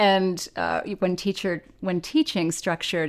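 This woman has an unremarkable speaking voice, medium in pitch, moving at a fairly slow pace on a very clean recording with a silent background. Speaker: podcast host. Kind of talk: interview.

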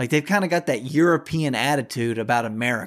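A man with a Southern US accent sounds furious, speaking at a moderate pace with ordinary pitch variation. The recording is very clean and the background silent. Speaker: podcast host. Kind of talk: angry rant. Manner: furious, loud, profane, ranting.

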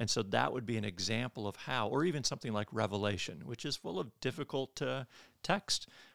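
A man with an American accent and a medium pitch speaks fairly quickly with vocal fry and very wide pitch swings, on a very clean, dry, close recording with a silent background and no echo. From Michigan. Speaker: theology professor and pastor. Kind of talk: interview on church history.

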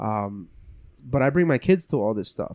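With a quiet background and a dry, close sound without echo, a man speaks in an unremarkable speaking voice at a moderate pace, a medium pitch and ordinary pitch variation. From New Jersey, Cuban building, Colombian family. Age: 30s. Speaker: community nonprofit leader. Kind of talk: casual chat.

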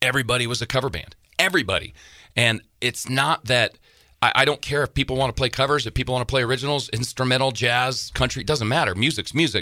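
A man's very fast voice at a medium pitch, bright and sharp, dry and close with no echo, on a very clean recording with a silent background. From Wyoming. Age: 40s. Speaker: musician. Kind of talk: casual interview chat. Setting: studio. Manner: animated storyteller.

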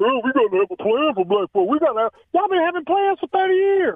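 With a Southern US accent, a man talks at a fairly quick pace. His pitch swings very widely. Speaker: radio show caller. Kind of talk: opinionated call-in rant. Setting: phone call. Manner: animated.

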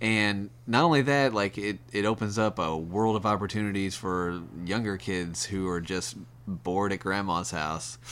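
This man talks in a normal speaking voice at a moderate pace, his fairly low pitch showing ordinary pitch variation. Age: 30s. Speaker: podcast guest, gamer. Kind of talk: casual chat.

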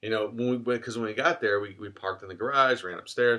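Speaking very fast and loud, a man with an American accent delivers a bright, sharp tone at a medium pitch. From US Midwest, Cleveland, Ohio. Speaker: podcast host. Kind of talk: casual chat. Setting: in a car.

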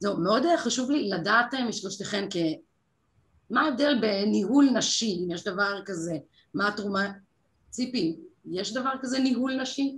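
A woman with a somewhat breathy voice and fairly high pitch speaks with lively intonation. She moves at a fairly slow pace, with long, frequent pauses. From Israel, kibbutz. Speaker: panel moderator, TV consumer reporter. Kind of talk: moderated panel discussion. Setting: event with online audience.

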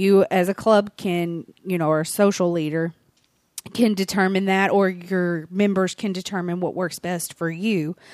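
A woman with an American accent speaks in a normal speaking voice at medium pitch and a fairly slow pace. Her intonation is fairly even, and the sound is dry and close with no echo. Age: 40s. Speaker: fan club organizer. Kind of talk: casual chat.

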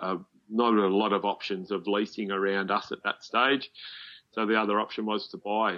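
A man talks with an Australian accent at a moderate pace. His fairly low voice stays monotone, with flat intonation. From Australia, Melbourne. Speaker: farmer. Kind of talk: interview.

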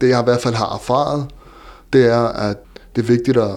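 At medium pitch, a man delivers his words at a moderate pace. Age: 30s. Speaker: entrepreneur with visual impairment. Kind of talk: interview. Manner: halting.

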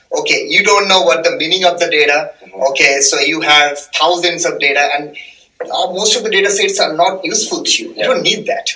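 A man with a Bengali accent talks at a fairly quick pace amid noticeable background noise. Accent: Indian English (Bengali). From eastern India (Bengal). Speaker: data scientist. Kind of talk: casual chat.

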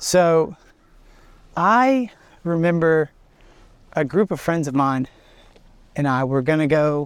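In a very clean recording with a silent background, a man with an Alabama accent and a fairly high voice speaks at a very slow pace, leaving long, frequent pauses, with ordinary pitch variation. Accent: Southern US (Alabama). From US South, Alabama (Birmingham area). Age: 20s. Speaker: student pastor and worship leader. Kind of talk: casual chat. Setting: outdoors, park.

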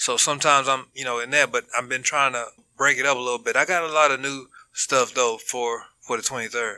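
Fairly quick and monotone, a man's medium-pitched voice with a bright, sharp tone and flat intonation comes through in an American accent. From Dallas, Texas. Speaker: stand-up comedian. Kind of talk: casual interview chat.

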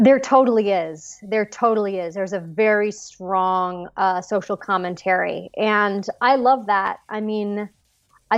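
A woman with an American accent speaks at a fairly slow pace and with fairly even intonation, with music playing in the background. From Los Angeles, US. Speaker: actress. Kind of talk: casual interview.

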